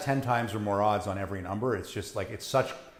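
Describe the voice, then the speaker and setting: Heard with audible room echo, a man with a fairly low pitch talks at a fairly quick pace with ordinary pitch variation. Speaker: casino gambling streamer. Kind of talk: live stream chat. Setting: live stream. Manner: loud.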